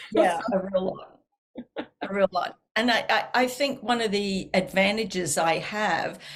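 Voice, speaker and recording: In a strong Australian accent, the speaker talks at a fairly slow pace with ordinary pitch variation. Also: woman, medium pitch for a woman, big swings in loudness. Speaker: counselor and author. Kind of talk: interview.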